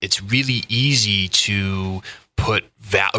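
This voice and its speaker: Speaking with an American accent, a man has a very deep, low voice. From US Midwest, Indiana. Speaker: business consultant. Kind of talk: interview.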